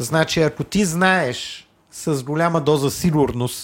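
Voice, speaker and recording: The recording is very clean with a silent background. A man with a fairly high pitch talks fairly slowly in a plain, everyday voice, with fairly even intonation. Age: 40s. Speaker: property developer. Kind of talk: interview.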